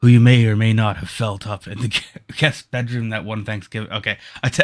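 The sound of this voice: An unforced reading voice carries the whole clip.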